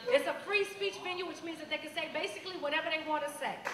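Extremely high-pitched and bright, a woman's raised, projected voice rushes along at a very fast pace with ordinary pitch variation, audible room echo and light background noise. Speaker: event host. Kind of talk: live event MC introduction. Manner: casual, crowd-engaging. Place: stage. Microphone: handheld.

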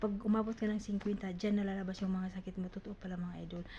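A woman's somewhat breathy voice has a dark, mellow tone and monotone, flat intonation. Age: 50s. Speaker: vlogger. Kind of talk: casual vlog talk. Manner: halting.

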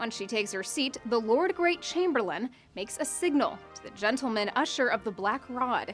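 There is music in the background. A woman with a fairly high pitch speaks at a moderate pace. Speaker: news reporter. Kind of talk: news package narration. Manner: wry, lightly humorous.

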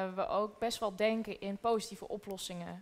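Over faint music in the background, a woman speaks at a fairly slow pace with medium pitch and fairly even intonation. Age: 20s. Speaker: documentary maker; guest. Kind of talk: panel discussion. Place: hall.

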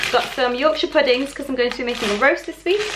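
There is noticeable background noise. A woman talks through it. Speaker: vlogger. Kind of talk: casual vlog chat. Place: kitchen.

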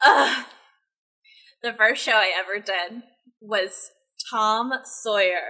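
A woman with an American accent speaks at a very slow pace, with long, frequent pauses and fairly even intonation. Her fairly high voice has a bright, sharp tone against a quiet background. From Texas. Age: 20s. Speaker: social media manager; podcast guest. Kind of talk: casual chat. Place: home room.

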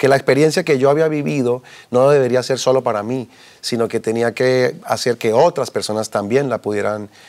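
The setting is quiet. A man's speech moves at a moderate pace, its pitch varying in an ordinary way. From Colombia, Bogotá. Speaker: businessman giving faith testimony; interview guest. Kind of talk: testimony interview. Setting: TV studio. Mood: earnest, reflective. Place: studio. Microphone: lapel.

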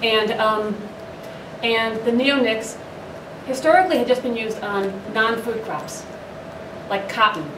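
Through noticeable background noise, a woman speaks fairly slowly at a fairly high pitch with ordinary pitch variation and long, frequent pauses. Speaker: arborist. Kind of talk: panel discussion. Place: hall. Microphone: handheld.

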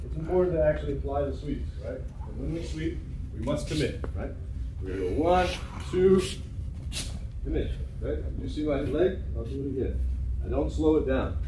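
A man at a moderate pace with long, frequent pauses, plus audible room echo and noticeable background noise. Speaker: judo instructor. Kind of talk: class instruction. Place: gym.

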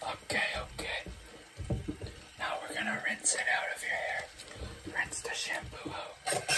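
A man whispering at a very slow pace. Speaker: ASMR content creator. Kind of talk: ASMR roleplay hair wash narration to camera. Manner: soft, slow, calm. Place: home room. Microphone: phone near.

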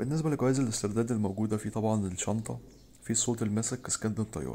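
A man with an Egyptian accent and a dark, mellow tone speaks at a fairly quick pace, medium pitch and ordinary pitch variation. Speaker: gaming youtuber. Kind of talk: tutorial.

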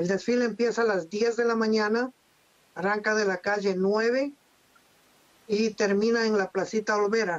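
Flat and monotone, a man speaks at a fairly slow pace in a high pitch. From Latacunga, Ecuador. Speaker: Ecuadorian community organizer in Los Angeles. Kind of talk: interview answer. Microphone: video call.

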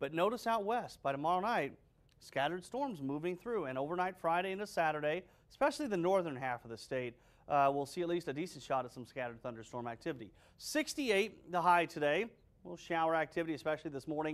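Very fast and lively in intonation, this man's voice sits at a fairly high pitch. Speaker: TV meteorologist. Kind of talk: weather report. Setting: studio. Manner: brisk, conversational, matter-of-fact. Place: studio. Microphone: lapel.

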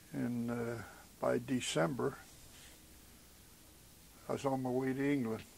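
Fairly slow and fairly even in intonation, a man talks with a Western Pennsylvania accent. Long pauses come frequently. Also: medium pitch for a man. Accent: Western Pennsylvania American English. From southwestern Pennsylvania, USA. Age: 70s. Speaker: WWII army medic veteran. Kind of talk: oral history interview answer.

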